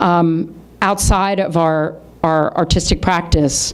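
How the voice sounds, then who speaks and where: Noticeable background noise runs beneath a woman speaking with ordinary pitch variation. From Philadelphia and Washington, D.C. area, US. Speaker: artist and author. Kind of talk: lecture. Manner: loud.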